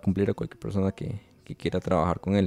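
A dark, mellow tone comes through in a very clean recording with a silent background and a dry, close sound with no echo. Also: man. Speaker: wedding photographer and podcast host. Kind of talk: casual interview chat. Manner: halting, many repetitions and fillers.

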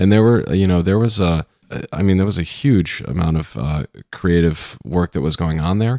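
A man speaks with a very deep, low pitch, a dark, mellow tone and ordinary pitch variation. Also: moderate pace, dry, close sound with no echo. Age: 40s. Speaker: cinematographer. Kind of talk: interview.

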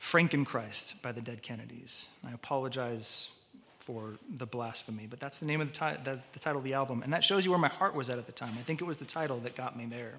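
In a Californian accent, a man speaks at a very fast pace with a bright, sharp tone. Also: medium pitch for a man, ordinary pitch variation. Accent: Californian American. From Southern California, Orange County. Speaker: preacher. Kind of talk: sermon.

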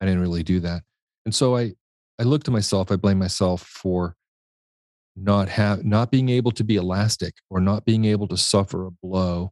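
A man with an American accent talks in a normal speaking voice at a fairly low pitch and a moderate pace, with fairly even intonation. The recording is very clean, with a silent background and a dry, close sound with no echo. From Washington, D.C. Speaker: interior designer. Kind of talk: interview testimony.

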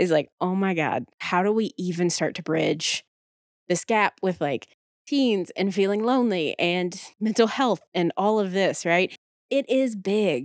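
In a dry, close sound with no echo, a woman with a normal speaking voice and medium pitch talks at a fairly slow pace with lively intonation, on a very clean recording with a silent background. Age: 30s. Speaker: therapist and podcast co-host. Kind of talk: casual chat.

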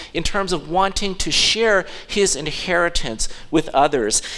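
With music in the background, a man talks at a fairly slow pace in a high pitch, using lively intonation. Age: 50s. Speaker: pastor. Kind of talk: sermon; impassioned Father's Day sermon, voicing God's offer of grace in an evangelistic appeal. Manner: conversational with frequent fillers and false starts; fervent, building appeal with repeated phrases and hesitant restarts.

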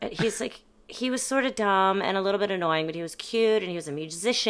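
A woman talks in an ordinary speaking voice at medium pitch, with ordinary pitch variation and a fairly quick pace. The recording is very clean, with a silent background. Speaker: actor and burlesque performer. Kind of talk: casual interview chat.

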